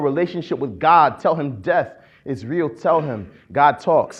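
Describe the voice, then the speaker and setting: An unremarkable speaking voice with an American accent, a moderate pace and ordinary pitch variation. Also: man. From Akron, Ohio. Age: 20s. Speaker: poet-activist. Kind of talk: spoken-word poetry performance. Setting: conference stage.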